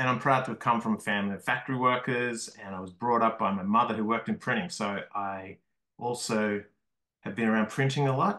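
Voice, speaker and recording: A man's medium-pitched voice in an Australian accent, bright and sharp in tone, with ordinary pitch variation and a fairly quick pace. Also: quiet background. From Australia, Melbourne. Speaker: comics artist and small press publisher. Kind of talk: lecture.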